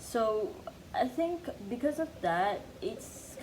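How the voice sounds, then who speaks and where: A woman speaks with lively intonation. Room echo is audible. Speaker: vlogger. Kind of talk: casual monologue. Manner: soft-spoken, chill; halting, filler-heavy.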